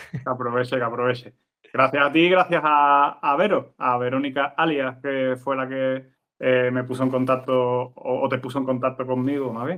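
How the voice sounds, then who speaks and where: At a moderate pace, a man with an Andalusian accent speaks at medium pitch with fairly even intonation. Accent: Andalusian (Cádiz). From Andalusia, Cádiz (El Puerto de Santa María). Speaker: TV scriptwriter. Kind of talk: interview conversation.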